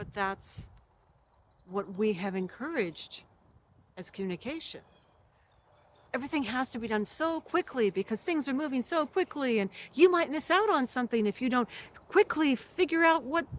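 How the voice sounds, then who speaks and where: A woman's high voice swings very widely in pitch. She leaves long, frequent pauses. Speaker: spiritual teacher. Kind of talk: monologue to camera. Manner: slow; deliberate.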